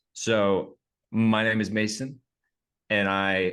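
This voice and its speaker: Speaking with an American accent, this man keeps a fairly low pitch and his intonation fairly even. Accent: slight Southern twang, comes out sometimes. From Oklahoma, US South. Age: 30s. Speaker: actor. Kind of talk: interview.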